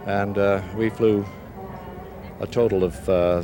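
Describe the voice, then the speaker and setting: Music plays behind a man with a very deep, low pitch. His intonation stays fairly even. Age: 60s. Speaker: war veteran. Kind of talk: interview. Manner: halting.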